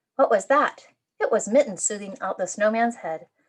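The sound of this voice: An unforced reading voice sounds out with quiet surroundings.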